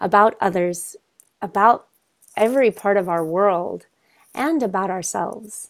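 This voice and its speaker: A woman's medium-pitched voice at a very slow pace. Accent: American. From Kentucky, US. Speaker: yoga teacher. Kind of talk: online panel discussion. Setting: video call.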